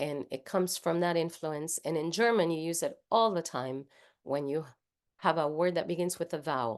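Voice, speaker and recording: Over a quiet background, a woman with a Spanish accent talks at a moderate pace in a fairly low pitch. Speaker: singer and voice teacher. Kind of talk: workshop lecture.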